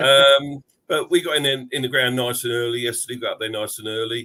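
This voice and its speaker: A man's medium-pitched voice with a bright, sharp tone, on a very clean recording with a silent background. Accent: London. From London. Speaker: football podcast panelist. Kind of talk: casual chat. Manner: hesitant, many fillers.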